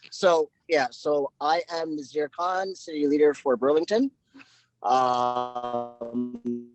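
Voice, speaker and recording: With music in the background, a man talks at a very slow pace in a fairly high pitch with ordinary pitch variation. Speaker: business network member, print and digital services. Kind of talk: casual self-introduction on video meeting. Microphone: crackly, lagging audio.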